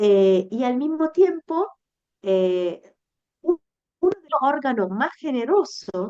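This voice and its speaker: A woman speaks at a very slow pace with a high pitch and a dark, mellow tone. Her pitch swings very widely. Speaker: menstrual educator. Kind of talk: interview conversation. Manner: halting.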